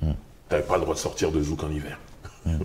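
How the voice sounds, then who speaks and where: The man's voice is somewhat breathy. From Paris suburbs (Sarcelles). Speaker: rapper and author. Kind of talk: casual interview. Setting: bookshop cultural space.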